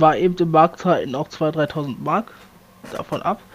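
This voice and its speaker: A man speaks at a very slow pace. His pitch sits high. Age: 30s. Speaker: podcast co-host. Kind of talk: casual chat.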